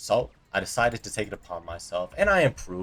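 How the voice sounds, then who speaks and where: A man with an American accent talks in a relaxed tone. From US, Colorado (Aurora). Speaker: vlogger. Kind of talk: casual storytime monologue. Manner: quiet at times; casual, relaxed. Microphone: poorly placed mic, low audio, no boom arm.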